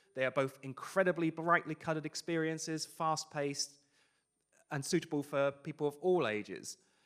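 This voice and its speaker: Fairly even intonation marks this man's fairly high-pitched voice. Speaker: VR marketing company founder, conference speaker. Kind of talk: conference talk. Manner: fast.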